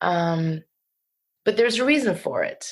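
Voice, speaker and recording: A woman with a New Jersey accent speaks at a fairly slow pace. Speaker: poet. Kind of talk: casual interview.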